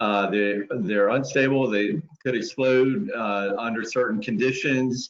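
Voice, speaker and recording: A man speaks at a fairly slow pace. His pitch is medium with ordinary variation. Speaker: environmental regulator presenter. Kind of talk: webinar presentation. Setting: online webinar. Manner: hesitant, many fillers.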